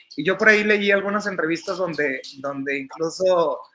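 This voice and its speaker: A man's raised, projected voice with ordinary pitch variation. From northern Mexico, Coahuila (Monclova/Saltillo). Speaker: entertainment journalist. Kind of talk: casual interview conversation.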